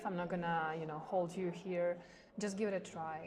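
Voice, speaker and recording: A woman with a fairly low pitch talks at a fairly quick pace in a monotone, flat way. Room echo is audible. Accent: Ukrainian. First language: Ukrainian. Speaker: volleyball player. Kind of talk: interview. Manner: halting, many fillers.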